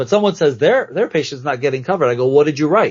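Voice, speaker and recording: Somewhat breathy, the man speaks with lively intonation. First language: not English. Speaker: dermatology nurse practitioner. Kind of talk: podcast interview. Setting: podcast recording. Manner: animated.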